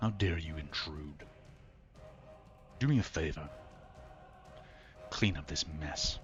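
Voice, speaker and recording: A man puts on a character voice, very deep, low and resonant, at a fairly slow pace. Long, frequent pauses break his speech while music plays clearly in the background. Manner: commanding, imperious.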